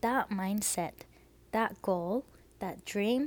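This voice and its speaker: Speaking very slowly, a woman uses a fairly high pitch with ordinary pitch variation. The recording is very clean, with a silent background. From Fukuoka, Japan. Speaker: podcaster, freelance designer. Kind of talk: casual solo podcast monologue. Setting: home laundry room, makeshift studio. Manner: casual, chatty, conversational.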